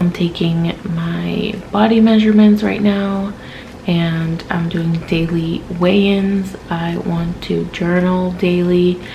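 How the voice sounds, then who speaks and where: Woman speaking at a very slow pace with fairly even intonation, audible room echo and noticeable background noise. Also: fairly low pitch for a woman. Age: 20s. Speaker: vlogger documenting weight loss. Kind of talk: casual vlog. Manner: hesitant, many fillers.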